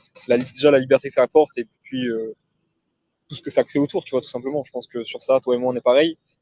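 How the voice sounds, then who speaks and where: A man speaks in a dark, mellow tone at a medium pitch. His intonation stays fairly even while his loudness swings widely. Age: 20s. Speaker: e-commerce entrepreneur. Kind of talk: casual interview. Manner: hesitant, many fillers.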